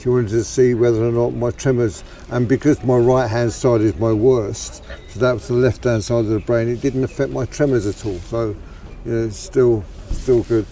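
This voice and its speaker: Over noticeable background noise, a man talks at a moderate pace in a medium-pitched voice with fairly even intonation. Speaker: man with Parkinson's discussing his condition. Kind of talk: casual chat. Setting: outdoors in a park. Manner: halting with repetitions.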